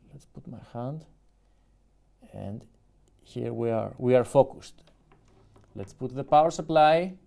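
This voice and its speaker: Big swings in loudness mark this dark, mellow voice with a Greek accent. The pace is fairly slow, with long, frequent pauses and ordinary pitch variation. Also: man, medium pitch for a man. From Greece. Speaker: YouTuber, music producer. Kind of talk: live stream unboxing. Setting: live stream.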